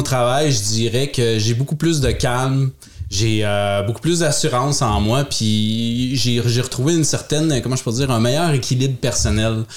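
A man with a Quebec accent talks at a moderate pace, his pitch medium with ordinary variation. Noticeable background noise runs behind him. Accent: Québécois French. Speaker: podcast co-host. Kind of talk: casual chat.

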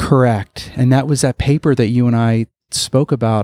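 A man with an ordinary speaking voice, fairly quick pace and fairly even intonation, in a dry, close sound with no echo. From US, South Florida (Broward County). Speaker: physical therapist and academic. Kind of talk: interview. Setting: at a conference.

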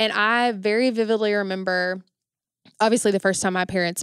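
A woman with an unremarkable speaking voice talks at a moderate pace with fairly even intonation. The recording is very clean, with a silent background. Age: 20s. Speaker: university event coordinator. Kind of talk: casual interview chat.

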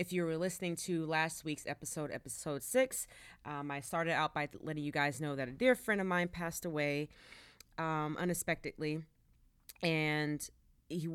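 On a very clean recording with a silent background, a woman with an American accent speaks at a moderate pace in a very deep, low pitch. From Dallas, Texas. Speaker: sports podcast host. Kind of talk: solo sports commentary podcast.

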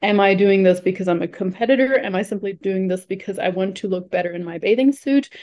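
With a German accent, a woman talks very fast with hardly any pauses, in a medium pitch with ordinary pitch variation. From Germany. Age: 30s. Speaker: nutrition coach. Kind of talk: casual chat.

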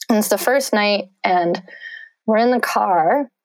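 With ordinary pitch variation and vocal fry, a woman talks at a very slow pace. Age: 40s. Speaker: reproductive rights activist. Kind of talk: casual interview conversation.

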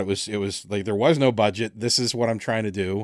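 Speaking fairly quickly in an unremarkable speaking voice, a man keeps a fairly low pitch and fairly even intonation. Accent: American. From United States. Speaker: podcast host and audio drama writer. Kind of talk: casual interview. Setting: remote call across time zones.

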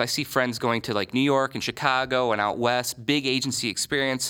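An ordinary speaking voice with an American accent, ordinary pitch variation and a fairly quick pace. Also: man. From Michigan. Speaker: advertising agency owner. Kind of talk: interview.

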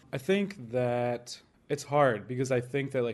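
The speech moves at a moderate pace, with an American accent. It is an ordinary speaking voice. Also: man. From Florida, US. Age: 30s. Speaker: chef. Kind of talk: interview.

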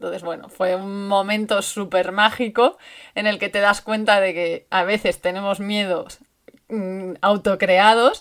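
A woman speaks at a fairly slow pace. Her intonation stays flat and monotone. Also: medium pitch for a woman. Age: 30s. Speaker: bicycle traveler. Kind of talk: recorded testimony.

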